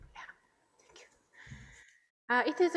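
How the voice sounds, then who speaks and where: A woman talks in a Japanese accent. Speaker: historian of philosophy. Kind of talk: academic presentation. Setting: workshop with audience. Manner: halting.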